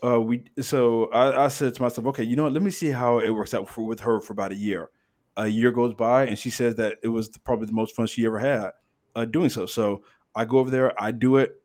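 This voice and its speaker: In a very clean recording with a silent background, a man with an American accent talks at a fairly quick pace. He has an ordinary speaking voice, medium in pitch, with fairly even intonation. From Texas, Dallas-Fort Worth area. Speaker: former English teacher in Korea. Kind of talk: casual chat.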